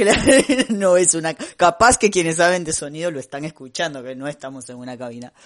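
A man's fairly high voice, a normal speaking voice, at a fairly quick pace with big swings in loudness. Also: lively intonation. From Costa Rica. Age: 30s. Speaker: podcast co-host. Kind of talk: casual chat. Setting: home recording, not a studio booth.

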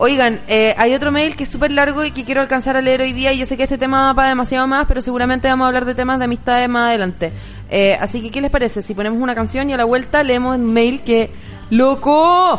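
Speaking at a very fast pace in a Chilean accent, a high-pitched woman keeps her intonation fairly even. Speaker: comedian and podcast host. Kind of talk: casual chat.

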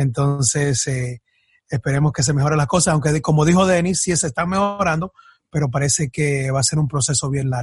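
The voice sounds somewhat breathy, recorded dry and close with no echo. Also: man. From born in Ecuador, raised in the US from age 8 in a Dominican community. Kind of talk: casual interview chat. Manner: halting, with frequent repetitions.

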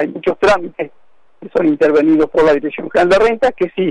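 In a dry, close sound with no echo, a man speaks at a high pitch with ordinary pitch variation. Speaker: union delegate. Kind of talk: radio interview.

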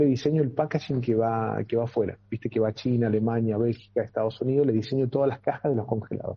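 With a Rioplatense accent, a man of medium pitch speaks somewhat breathily at a very fast pace, keeping his intonation fairly even. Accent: Argentine Rioplatense Spanish. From Argentina, Entre Ríos. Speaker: muralist. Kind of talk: radio interview. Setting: video call.

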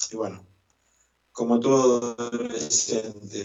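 A man with a Rioplatense accent speaks at a medium pitch and fairly even intonation, with audible room echo. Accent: Argentine Spanish (rioplatense). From Argentina, Santa Fe province. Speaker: musician and choir director. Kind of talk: interview. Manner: hesitant, many fillers.

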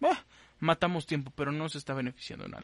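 A man talks at a very fast pace. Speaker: podcast host. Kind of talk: casual chat. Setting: remote live stream from home.

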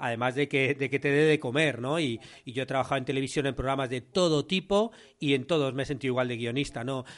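A man with a Spanish accent at a fairly quick pace against a quiet background. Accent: Peninsular Spanish. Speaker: podcast host and screenwriting teacher. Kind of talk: interview conversation.

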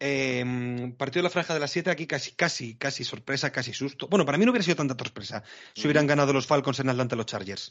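Speaking very fast, a man uses a fairly high pitch that varies in an ordinary way. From Spain, Madrid. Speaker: NFL podcast host. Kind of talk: casual chat.

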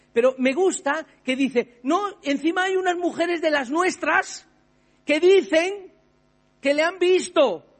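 Very slow and extremely high-pitched, a man with a Spanish accent keeps his loudness very even and his pitch variation ordinary. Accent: Peninsular Spanish. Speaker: pastor. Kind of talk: sermon.

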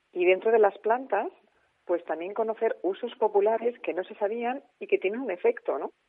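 A woman with an unremarkable speaking voice talks at a moderate pace, her fairly high pitch carrying lively intonation and big swings in loudness. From Spain, Alicante. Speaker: author of a book on medicinal plants. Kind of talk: radio interview.

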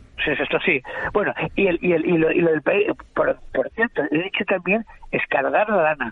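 A man talks at a moderate pace, his loudness very even. Noticeable background noise sits behind him. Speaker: writer and literary critic. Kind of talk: panel discussion.

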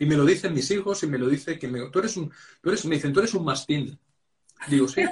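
At a very fast pace, a man talks in a somewhat breathy voice with ordinary pitch variation. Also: fairly high pitch for a man. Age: 50s. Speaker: podcast host and personal development author. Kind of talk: interview conversation.

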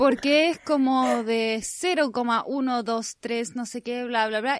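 In a Chilean accent, a woman speaks at a high pitch. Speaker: podcast host. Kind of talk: casual chat.

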